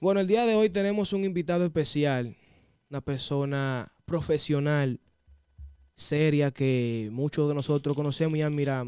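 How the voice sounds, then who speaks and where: Over a quiet background, a man with a Dominican accent speaks at a fairly high pitch in a dry sound with no echo. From Dominican Republic. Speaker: interviewer. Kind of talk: interview. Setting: studio. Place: studio. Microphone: studio mic.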